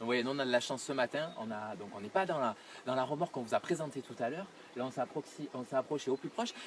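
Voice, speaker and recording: A man's very fast delivery, with ordinary movement in pitch. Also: medium pitch for a man. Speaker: tourism video host. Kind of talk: on-location presentation. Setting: outdoors. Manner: soft-spoken.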